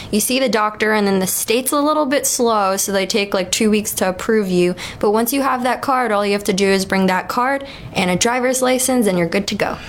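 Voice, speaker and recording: A woman speaks with an American accent at a fairly quick pace. Her loudness stays very even over noticeable background noise. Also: fairly high pitch for a woman, ordinary pitch variation. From New York. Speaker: cannabis dispensary worker. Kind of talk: casual interview chat.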